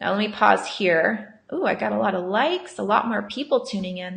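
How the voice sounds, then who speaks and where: A woman is talking. Her pace is fairly quick. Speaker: marketing consultant. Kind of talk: live webinar training. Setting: live video stream. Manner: fast.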